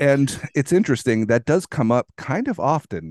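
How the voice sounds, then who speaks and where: This man has an unremarkable speaking voice, with lively intonation at a moderate pace. The sound is dry and close with no echo, against a quiet background. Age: 30s. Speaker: podcast host. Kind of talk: casual interview chat.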